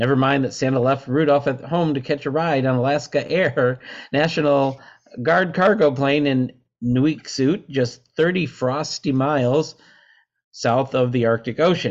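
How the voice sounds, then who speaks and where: At a fairly slow pace and very even loudness, a man talks in a normal speaking voice, fairly high-pitched, with fairly even intonation. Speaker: podcast host. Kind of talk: casual banter and news reading.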